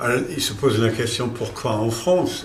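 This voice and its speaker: Amid noticeable background noise and audible room echo, a man with a German accent speaks at a very slow pace with medium pitch. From Germany. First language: German (speaking French). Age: 60s. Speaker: company founder. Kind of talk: corporate interview. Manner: hesitant, many fillers.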